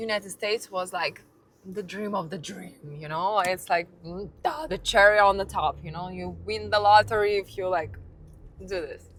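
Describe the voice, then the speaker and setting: In a Russian accent, the speaker goes at a moderate pace with ordinary pitch variation. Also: woman, medium pitch for a woman. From Russia, near Saint Petersburg. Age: 30s. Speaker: lifestyle vlogger. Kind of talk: casual monologue. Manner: halting.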